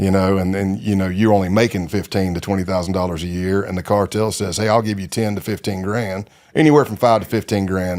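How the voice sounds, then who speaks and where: A man's very deep, low pitch at a very fast pace, fairly even intonation, very clean recording, silent background. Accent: Texan. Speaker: retired undercover agent. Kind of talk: interview. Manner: casual, digressive.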